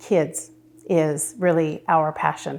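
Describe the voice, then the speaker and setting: Here a woman speaks at a fairly slow pace. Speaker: award honoree, community volunteer. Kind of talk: interview testimony. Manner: loud; hesitant, many fillers.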